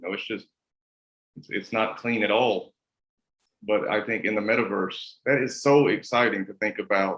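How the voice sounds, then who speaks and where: A man with a Kentucky accent talks at a fairly quick pace with ordinary pitch variation. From US South, rural Kentucky. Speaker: interviewer. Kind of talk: interview. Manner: casual, stammering.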